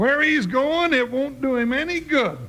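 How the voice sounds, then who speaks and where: A man's raised, projected put-on character voice, extremely high in pitch, at a moderate pace over light background noise. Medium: old radio play. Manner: snarling, threatening.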